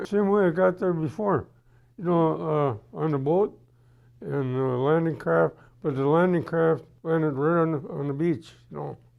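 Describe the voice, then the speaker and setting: With an Upper Midwest accent, a man talks at a fairly slow pace. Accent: Upper Midwest American. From Wisconsin. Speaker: WWII veteran. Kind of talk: interview answer. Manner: hesitant, rambling.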